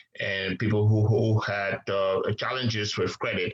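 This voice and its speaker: There is noticeable background noise. Through it, a man speaks at a fairly low pitch. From Liberia. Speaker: businessman. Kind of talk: interview. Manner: hesitant, many fillers.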